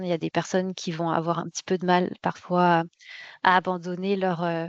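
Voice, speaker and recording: At a moderate pace, a woman talks at a medium pitch against a quiet background, the sound dry and close with no echo. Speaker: quality management software consultant presenting a webinar. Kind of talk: webinar presentation. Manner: hesitant, many fillers and repetitions.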